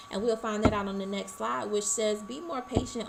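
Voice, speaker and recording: A woman's fairly high-pitched voice, with fairly even intonation, comes through audible room echo and noticeable background noise. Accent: American. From Arkansas, US South. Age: 20s. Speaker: college student. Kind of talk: class presentation. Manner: fast.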